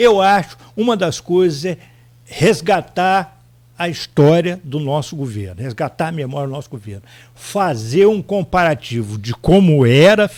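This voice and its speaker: This man's pitch is fairly high and swings very widely. He talks at a fairly slow pace with big swings in loudness. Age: 60s. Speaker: former mayor, politician. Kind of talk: radio interview.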